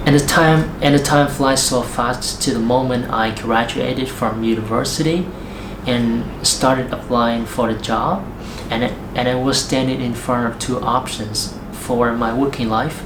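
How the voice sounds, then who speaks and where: Over noticeable background noise, a man with a Vietnamese accent talks fairly slowly at a medium pitch with fairly even intonation. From Central Vietnam. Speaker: English learner and teacher. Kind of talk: casual talk to camera.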